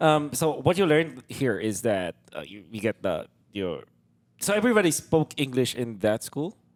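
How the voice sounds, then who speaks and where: In a dry, close sound with no echo, a man with a Filipino accent speaks at a moderate pace and a fairly high pitch, his voice making very wide pitch swings and big swings in loudness. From Philippines. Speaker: podcast host and esports shoutcaster. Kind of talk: casual interview podcast. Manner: hesitant, many fillers.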